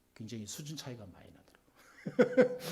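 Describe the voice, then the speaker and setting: A man with a dark, mellow tone sounds somewhat breathy. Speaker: pastor. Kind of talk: sermon. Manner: stiff, hard-edged delivery; emphatic, not soft-spoken.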